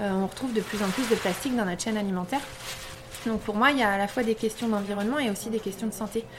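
A woman with a fairly high pitch rushes along at a very fast pace, keeping her intonation fairly even despite noticeable background noise. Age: 30s. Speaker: shop owner. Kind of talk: interview. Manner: hesitant, many fillers.

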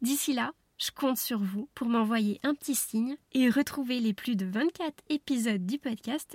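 Her fairly high voice comes at a fairly slow pace with ordinary pitch variation, the sound dry and close with no echo and the recording very clean against a silent background. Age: 30s. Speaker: podcast host, wellness coach. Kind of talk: solo podcast monologue. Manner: animated.

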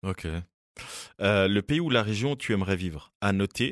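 Recorded dry and close with no echo and a silent background, a man with a fairly low pitch speaks fairly slowly with lively intonation. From Switzerland, Fribourg. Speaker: podcast host. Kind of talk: casual chat. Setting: studio.

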